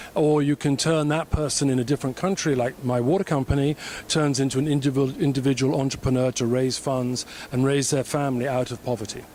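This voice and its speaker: Very fast speech comes from a man with a British accent. His pitch is medium, with fairly even intonation. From Britain (born in Africa, schooled in Britain). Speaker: entrepreneur, government affairs consultant. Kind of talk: interview.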